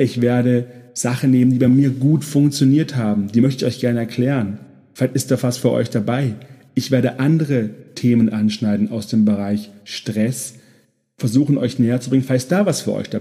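A man speaks at medium pitch with a dark, mellow tone. His pace is moderate and his intonation fairly even. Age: 30s. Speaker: podcast host, burnout prevention coach. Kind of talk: solo podcast introduction monologue.

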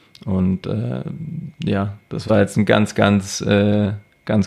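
A man with a fairly low voice speaks very slowly. His pitch varies in an ordinary way. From Germany, same village area as host. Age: 20s. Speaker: doctoral student in computer science. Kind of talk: casual chat. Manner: halting, many filler sounds.

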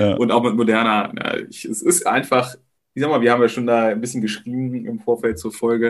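A man's ordinary speaking voice, medium in pitch, at a fairly quick pace with fairly even intonation. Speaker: podcast co-host. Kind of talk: casual chat.

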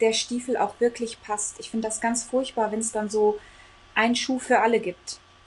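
Speaking at a moderate pace, a woman holds a flat, monotone delivery at a fairly high pitch. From Congo. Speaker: coach. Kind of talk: casual interview.

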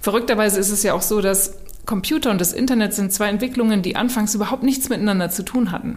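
A woman at a very fast pace and fairly high pitch, with ordinary pitch variation and audible room echo. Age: 40s. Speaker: author and design strategist. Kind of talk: casual chat.

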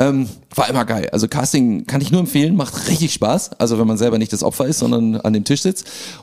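Over noticeable background noise, a man with a medium pitch speaks at a fairly quick pace with lively intonation. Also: very even loudness. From Hamburg, Germany. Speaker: a cappella comedy singer. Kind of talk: casual chat.

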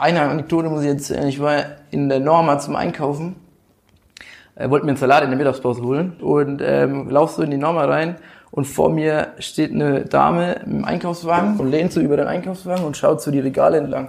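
This man has an unremarkable speaking voice with a fairly high pitch. He talks at a fairly quick pace with fairly even intonation. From Rhön region, Lower Franconia, Germany. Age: 20s. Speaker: football club board member. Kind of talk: casual interview.

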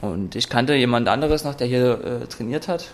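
There is noticeable background noise behind this man. He speaks at a medium pitch with ordinary pitch variation. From Saxony, eastern Germany (Freiberg). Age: 20s. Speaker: mixed martial arts athlete. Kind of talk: interview. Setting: in a martial arts gym.

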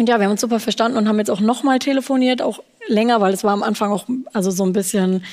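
At a very fast pace, a woman speaks in a fairly high pitch with fairly even intonation and very even loudness. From Germany, Frankfurt. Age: 20s. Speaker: leukemia survivor, stem cell recipient. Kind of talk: interview, personal story.

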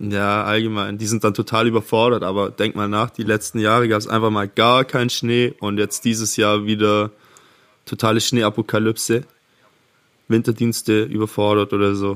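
The man's intonation is monotone and flat, his pitch fairly low. He talks at a moderate pace on a very clean recording with a silent background. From near Ravensburg, Swabia (southern Germany). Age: 20s. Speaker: podcast co-host. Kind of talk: casual chat.

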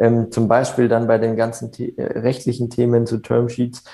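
Here a man talks at a medium pitch with a dark, mellow tone. His pace is moderate. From Germany, Upper Franconia (near Bamberg). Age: 20s. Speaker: entrepreneur. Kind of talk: interview. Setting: video call. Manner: hesitant, many filler sounds. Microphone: reduced audio quality over video call.

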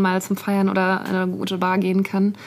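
Background noise is noticeable here. The speaker is a woman. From Nuremberg, Franconia, Germany. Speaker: podcast co-host, journalist. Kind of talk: casual chat. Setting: studio.

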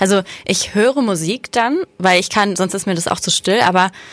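Noticeable background noise sits under a woman speaking at a moderate pace and medium pitch, with ordinary pitch variation. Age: 20s. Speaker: podcast co-host. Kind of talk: casual chat. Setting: studio.

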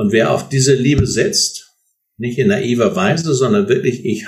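The speaker talks at a fairly slow pace, with vocal fry and very wide pitch swings. Audible room echo surrounds the voice. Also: man. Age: 60s. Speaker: author and seminar leader, psychologist. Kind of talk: interview.

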